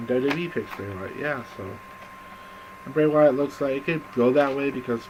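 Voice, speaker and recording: At a moderate pace, a man speaks with ordinary pitch variation. There is noticeable background noise. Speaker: wrestling fan vlogger. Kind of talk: casual video monologue. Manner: halting, many fillers.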